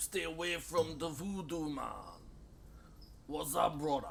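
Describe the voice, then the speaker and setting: This is a put-on character voice at a moderate pace. Background noise is clearly audible. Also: man, fairly high pitch for a man. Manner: friendly, lilting.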